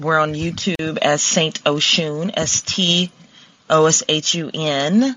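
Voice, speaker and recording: A woman with a slight Southern accent speaks in a very deep, low pitch. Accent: slight southern twang. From Columbus, Ohio. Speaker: pop singer. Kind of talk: casual interview. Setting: call-in app.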